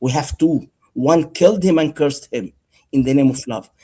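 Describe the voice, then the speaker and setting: A man with an Arabic accent speaks at a moderate pace. His pitch is fairly high with ordinary variation. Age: 60s. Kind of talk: heated debate.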